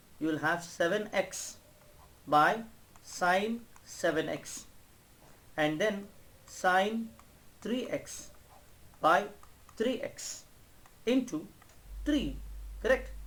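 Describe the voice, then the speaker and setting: Speaking at a very slow pace with long, frequent pauses, a man with a high pitch and lively intonation is heard amid audible room echo. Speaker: math teacher. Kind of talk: lecture. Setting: online class.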